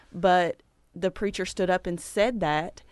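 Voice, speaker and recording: A woman with an ordinary speaking voice talks at a moderate pace and medium pitch, her intonation fairly even. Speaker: parent and church member. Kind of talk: casual conversation.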